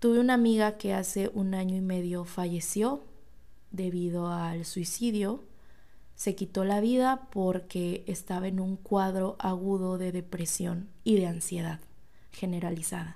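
A woman speaks with a dark, mellow tone. Her intonation stays fairly even. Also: medium pitch for a woman, fairly slow pace. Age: 20s. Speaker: podcast host. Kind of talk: casual monologue.

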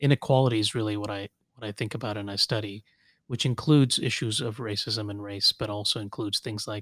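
At a very fast pace, a man with a Southern Californian accent speaks at a medium pitch with ordinary pitch variation. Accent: Southern California American. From Kuwait, then Los Angeles. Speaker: civil rights attorney. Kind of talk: casual interview.

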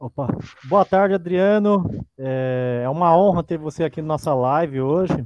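At a fairly slow pace, a man speaks in an unremarkable speaking voice, fairly high in pitch with ordinary pitch variation. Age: young. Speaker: arts teacher, panelist. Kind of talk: interview.

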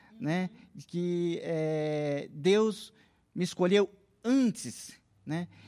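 The man's voice is high-pitched, with a dry, close sound and no echo. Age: 50s. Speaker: seminary student. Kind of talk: casual interview.

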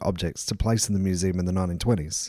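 A man talks at a very fast pace in a dark, mellow tone with an Australian accent. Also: very clean recording, silent background. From South Australia, Port Augusta. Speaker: museum research fellow and author. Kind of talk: interview. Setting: museum. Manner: frequent fillers and repetitions.

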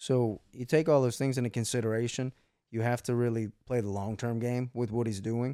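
Dry and close with no echo, a man with a medium pitch and a dark, mellow tone talks at a fairly quick pace with fairly even intonation. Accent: American. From US South. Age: 20s. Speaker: podcast host, business owner. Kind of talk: casual chat.

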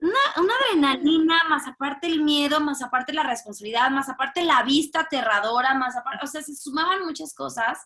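A woman speaks in a raised, projected, high-pitched voice with ordinary pitch variation. She goes at a fairly quick pace with hardly any pauses. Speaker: high diver. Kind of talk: casual interview.

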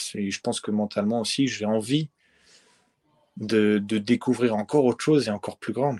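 A man with a medium-pitched voice and a dark, mellow tone, at a moderate pace, with fairly even intonation and long, frequent pauses, in a dry, close sound with no echo. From France. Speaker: professional footballer. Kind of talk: interview.

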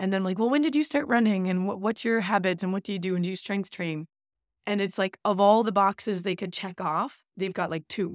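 With an ordinary speaking voice at medium pitch, a woman talks at a fairly quick pace with ordinary pitch variation, recorded very clean against a silent background with a dry, close sound and no echo. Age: 30s. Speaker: running podcast co-host, coach. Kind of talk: casual chat.

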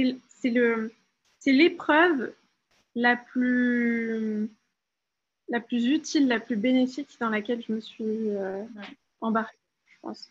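A woman with a high voice speaks very slowly, leaving long, frequent pauses while her loudness swings widely. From France. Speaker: life coach. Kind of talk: interview.

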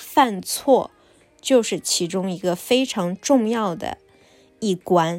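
A woman with an ordinary speaking voice talks at medium pitch with ordinary pitch variation. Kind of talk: casual interview and monologue for learners. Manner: clear, deliberate for learners.

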